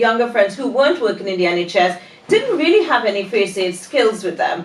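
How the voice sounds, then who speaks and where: A woman at medium pitch speaks amid noticeable background noise and audible room echo. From Trinidad and Tobago. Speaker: training business owner. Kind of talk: podcast interview. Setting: studio.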